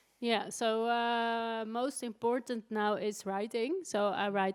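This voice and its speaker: The recording is very clean, its background silent. In it, a woman talks at a very slow pace. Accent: Dutch. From Netherlands. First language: Dutch. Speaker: writer. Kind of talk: interview. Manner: halting.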